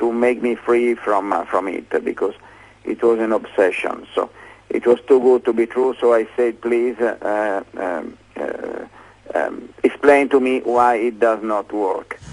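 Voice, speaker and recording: A man talks at a fairly slow pace. He speaks with an Italian accent. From Italy. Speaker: inventor. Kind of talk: interview. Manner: halting, many fillers.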